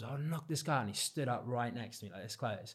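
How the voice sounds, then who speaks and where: A man with a medium pitch and ordinary pitch variation talks at a very fast pace. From Cornwall, England. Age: 30s. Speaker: freestyle football champion. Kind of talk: casual chat.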